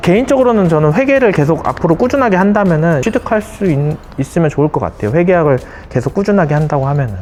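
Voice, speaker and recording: With music in the background, a man talks at a very fast pace in a high pitch, and his pitch swings very widely. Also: very even loudness. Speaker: accountant. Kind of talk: interview.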